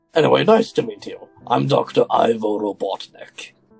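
Over faint background music, a man uses a raspy put-on character voice at a moderate pace. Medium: machinima. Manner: smug, theatrical.

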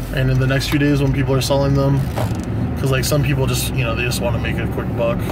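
Loud background noise is present throughout. Through it, a man can be heard talking. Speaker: sneaker reseller vlogger. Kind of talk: casual vlog chat. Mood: relaxed, confident. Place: car. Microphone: phone near.

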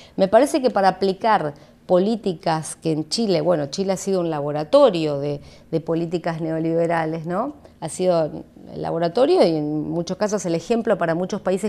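A woman speaks at a moderate pace in a fairly low pitch. Her tone is dark and mellow, with lively intonation. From Argentina. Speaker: political analyst; invited political analyst. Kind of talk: interview. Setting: studio. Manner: halting, many fillers. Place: studio. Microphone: studio mic.

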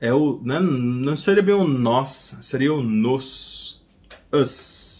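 A man talks with very wide swings in pitch. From Brazil. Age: 30s. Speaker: English teacher. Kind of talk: tutorial. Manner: casual, repeats phrases slowly. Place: home room.

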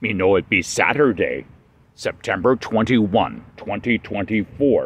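The sound of this man's voice is dry, with no echo. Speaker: puppeteer doing weather report. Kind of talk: comedic character weather report. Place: garden. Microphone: phone near.

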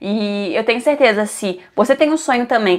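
Over a quiet background, a woman speaks at a moderate pace with a fairly high pitch and ordinary pitch variation. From Brazil. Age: 20s. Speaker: vlogger. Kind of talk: casual vlog talking to camera.

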